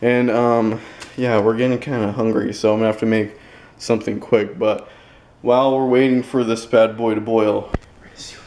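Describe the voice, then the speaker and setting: The speaker keeps a moderate pace in a monotone, flat intonation. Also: man. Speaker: vlogger. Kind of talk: casual vlog chat. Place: kitchen. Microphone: phone near.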